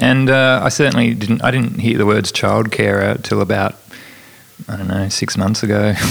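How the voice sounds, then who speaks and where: Over noticeable background noise, a man with an Australian accent talks at a moderate pace, his fairly low pitch showing ordinary variation. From Tasmania, Australia. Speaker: author and comedian. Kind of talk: interview. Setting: studio.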